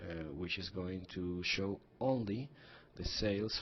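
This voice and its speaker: A man with a non-native accent, very deep and low in pitch, at a fairly slow pace. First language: not English. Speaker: software tutorial presenter. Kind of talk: tutorial. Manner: hesitant, frequent fillers and restarts.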